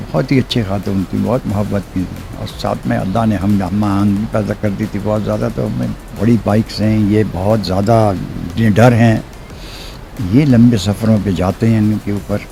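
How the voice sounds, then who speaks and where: Over music in the background, a man talks at a fairly low pitch with ordinary pitch variation. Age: 80s+. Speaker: motorcycle enthusiast. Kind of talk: interview answer.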